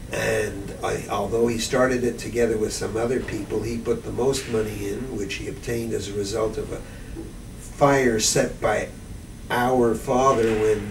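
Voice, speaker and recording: Speech at a moderate pace comes with monotone, flat intonation. There is audible room echo and noticeable background noise. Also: man. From Montreal, Quebec. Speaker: interviewee recalling family history. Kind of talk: oral history interview. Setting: library.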